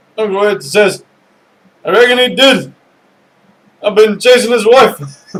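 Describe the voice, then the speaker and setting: Speaking at a fairly slow pace with long, frequent pauses, a man uses a high pitch. His pitch variation is ordinary. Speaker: YouTuber reading a joke book. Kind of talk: reading aloud. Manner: halting.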